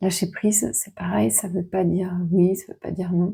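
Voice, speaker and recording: A woman speaks softly with a somewhat breathy, medium-pitched voice. Her tone is dark and mellow. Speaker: oracle card reader. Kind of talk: card reading guidance. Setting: room at a fasting retreat. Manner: soft-spoken.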